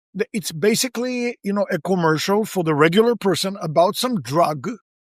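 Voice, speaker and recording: In a dry, close sound with no echo, a man with a high pitch talks at a fairly quick pace with lively intonation. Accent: American. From outside the US. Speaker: podcast host. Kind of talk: interview conversation.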